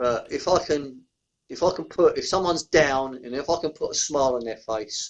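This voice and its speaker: A man talks at a moderate pace in an Essex accent. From Essex, England. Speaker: beer reviewer YouTuber. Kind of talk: podcast interview answer. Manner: casual, chatty.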